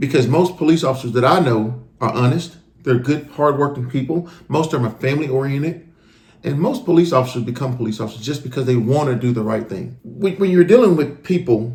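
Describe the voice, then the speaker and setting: A man talks at a fairly quick pace in a somewhat breathy voice. His pitch is fairly high, with ordinary pitch variation. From US South. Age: 40s. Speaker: retired police officer. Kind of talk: casual chat. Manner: animated.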